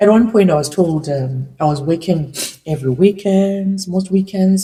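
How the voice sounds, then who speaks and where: Somewhat breathy, a woman speaks at a medium pitch with a dark, mellow tone. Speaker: immigrant. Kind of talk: casual talk to camera. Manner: emotional.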